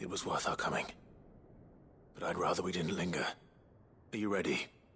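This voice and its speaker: Putting on a character voice, a man speaks fairly quickly in a very deep, low and raspy tone, with clear background noise. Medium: video game. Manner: measured, serious.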